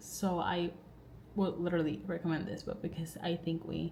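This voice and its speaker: A woman with a non-native accent, fairly low in pitch, her tone dark and mellow. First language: not English. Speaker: book vlogger. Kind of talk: casual vlog talk to camera. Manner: rambling, filler-heavy.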